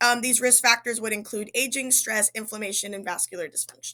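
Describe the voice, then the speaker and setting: The tone is bright and sharp, with ordinary pitch variation. The recording is very clean with a silent background. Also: woman. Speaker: student presenter. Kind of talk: class presentation. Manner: fast; halting, many fillers.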